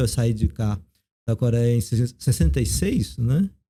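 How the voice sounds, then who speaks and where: Somewhat breathy and dark, mellow in tone, a man's voice moves at a moderate pace. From South Korea, raised in Brazil from age 9. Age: 50s. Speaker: theologian and professor. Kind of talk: casual interview.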